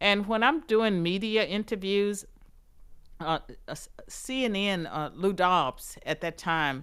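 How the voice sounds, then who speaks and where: In a Southern US accent, a woman talks at a very slow pace with long, frequent pauses, her medium-pitched voice carrying lively intonation on a very clean recording with a silent background. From US South. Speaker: political scientist and author. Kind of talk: interview.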